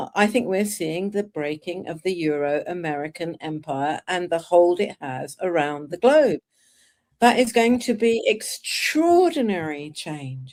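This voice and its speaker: In a British accent, a woman talks at a fairly slow pace with lively intonation. Her loudness swings widely. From Britain. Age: 70s. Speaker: political activist and author. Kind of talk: political discussion. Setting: live video stream.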